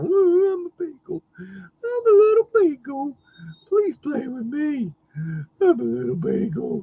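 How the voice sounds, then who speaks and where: The voice is a whiny, put-on character voice. It moves at a fairly slow pace. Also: man, extremely high pitch for a man. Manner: whiny, pleading.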